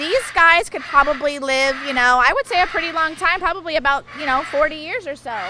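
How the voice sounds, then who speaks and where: Over noticeable background noise, a woman uses a raised, projected voice at a high pitch, talking fairly quickly with ordinary pitch variation and hardly any pauses. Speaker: big cat sanctuary staff, family member of owners. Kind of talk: casual interview on a tour.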